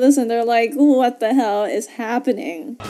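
A woman talks at a moderate pace in a high pitch with fairly even intonation. Faint music plays in the background. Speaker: movie reaction host. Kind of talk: casual reaction commentary. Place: home room.

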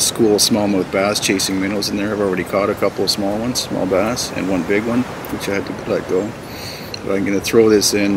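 A man talks at a fairly quick pace with a fairly low pitch and monotone, flat intonation. Noticeable background noise sits behind him. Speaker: outdoor guide. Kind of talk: tutorial. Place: waterside.

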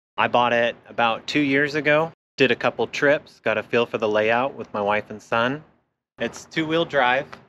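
At a moderate pace, a man speaks with fairly even intonation in a dry sound with no echo and light background noise. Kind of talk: casual tour chat. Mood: relaxed, cheerful. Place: street.

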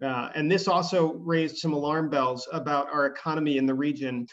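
Over a quiet background, a man talks at a fairly quick pace. His pitch is fairly high and his intonation fairly even. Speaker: economic development official. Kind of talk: presentation. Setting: video call. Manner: fast talker. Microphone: video call.

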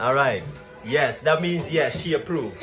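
With clear background music playing, a man delivers his words at a moderate speed. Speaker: vlogger filming the cafe kitchen. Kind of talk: casual vlog chat. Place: kitchen. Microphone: phone near.

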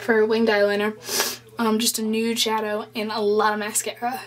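A woman with a fairly high voice speaks at a fairly slow pace in a monotone, flat intonation, with noticeable background noise behind her. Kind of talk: makeup tutorial talk to camera. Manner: casual, chatty.

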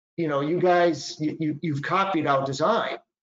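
A man with a Boston accent talks at a moderate pace. There is audible room echo and a quiet background. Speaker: patent attorney presenter. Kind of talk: lecture. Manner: conversational, informal. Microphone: webcam.

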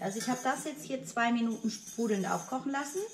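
Light background noise sits behind this woman. She speaks at a moderate pace with a high pitch. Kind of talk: tutorial. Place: kitchen. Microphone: camera far.

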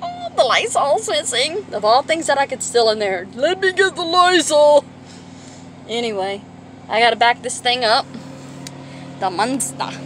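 At a moderate pace, a woman talks at a high pitch with long, frequent pauses. Light background noise can be heard. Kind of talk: casual vlog chat. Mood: amused, joking. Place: car. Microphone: phone near.

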